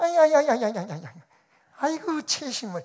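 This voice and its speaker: This is a put-on character voice pitched high. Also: moderate pace. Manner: mocking, sneering.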